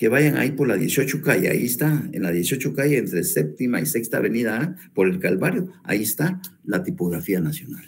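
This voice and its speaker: Vocal fry, a moderate pace, and very wide pitch swings. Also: man. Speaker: law professor. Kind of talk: lecture. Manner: repetitive, stumbling restarts.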